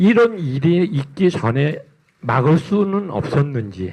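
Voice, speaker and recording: A man's fairly high voice, very slow, with very wide pitch swings and long, frequent pauses. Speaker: journalist. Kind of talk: press conference question. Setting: press conference hall. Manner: trembling, halting.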